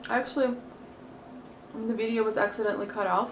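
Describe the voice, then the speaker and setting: This woman speaks with a Russian accent. Audible room echo and noticeable background noise fill the recording. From Crimea, Ukraine. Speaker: mukbang vlogger. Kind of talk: casual chat. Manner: halting.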